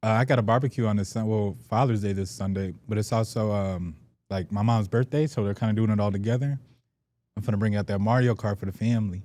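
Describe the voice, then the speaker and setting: In a very clean recording with a silent background, a man with a Chicago accent talks at a very fast pace, his fairly low voice dark and mellow in tone and his intonation fairly even. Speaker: sports podcast co-host. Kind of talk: casual chat.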